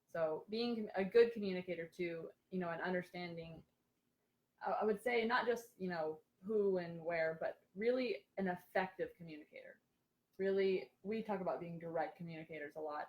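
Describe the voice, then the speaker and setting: With big swings in loudness, a woman speaks at a fairly quick pace in a medium, somewhat breathy voice with ordinary pitch variation. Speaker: rehab therapist. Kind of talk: casual chat. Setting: Facebook live stream. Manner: fast.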